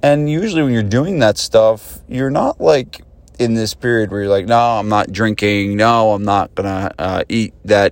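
An ordinary speaking voice from a man at a fairly low pitch, moderate in pace with ordinary pitch variation, on a very clean recording with a silent background. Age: 40s. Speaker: podcast host, gym business coach. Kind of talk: casual solo podcast talk.

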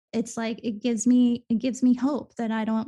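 A woman's fairly high, somewhat breathy voice with a dark, mellow tone, monotone and flat, at a moderate pace. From Venezuela, then raised in eastern US from age eight. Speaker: actor. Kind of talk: casual interview chat.

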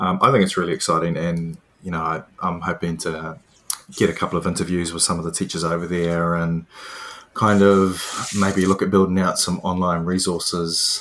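A man with a very deep, low pitch speaks in a New Zealand accent at a moderate pace. His intonation is monotone and flat, with noticeable background noise. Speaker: podcast host, PE teacher. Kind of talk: interview.

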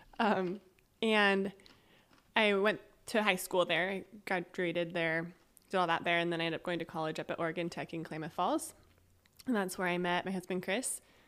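A woman with a West Coast US accent, fairly low in pitch, with long, frequent pauses, on a very clean recording against a silent background. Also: fairly even intonation, fairly quick pace. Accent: American (West Coast). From Northern California (Eureka). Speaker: church leadership council member, reading specialist. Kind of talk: casual interview chat.

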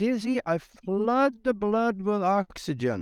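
Speaking at a very slow pace with ordinary pitch variation, a man comes through in a dry, close sound with no echo. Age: 70s. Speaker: author and retired pilot. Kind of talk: casual interview chat.

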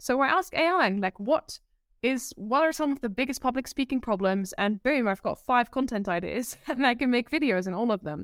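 With lively intonation, a woman speaks in a high pitch, the sound dry and close with no echo. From Netherlands. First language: Dutch. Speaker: presentation coach. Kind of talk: interview. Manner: giggly; sometimes fast.

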